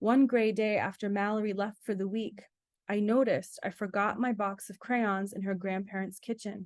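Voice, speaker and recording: An ordinary speaking voice with an American accent moves at a moderate pace with fairly even intonation over a quiet background. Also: woman. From Rhode Island, US (from age six). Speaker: author. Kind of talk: reading aloud.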